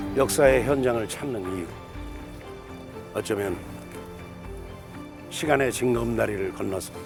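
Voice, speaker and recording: A man speaks fairly slowly, with long, frequent pauses and ordinary pitch variation. Music plays behind him. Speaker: actor. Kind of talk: documentary narration.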